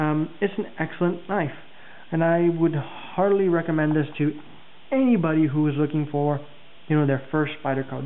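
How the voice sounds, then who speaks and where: A man's fairly high, fairly even voice at a fairly quick pace, with noticeable background noise. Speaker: knife reviewer. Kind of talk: product review video. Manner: fast; casual with many fillers.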